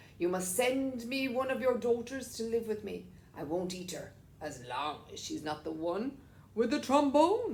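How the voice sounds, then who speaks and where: A woman puts on a character voice with a fairly high pitch. Clear background noise sits behind her. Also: moderate pace. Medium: read story.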